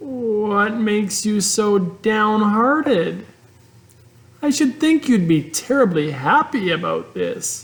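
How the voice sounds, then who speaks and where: A put-on character voice comes through at a fairly high pitch. It moves at a fairly slow pace. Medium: read story. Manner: earnest, eager.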